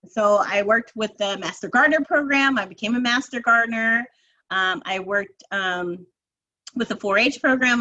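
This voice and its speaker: Her fairly high voice has a bright, sharp tone, ordinary pitch variation and a moderate pace. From New Jersey. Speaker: nonprofit program executive. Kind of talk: interview.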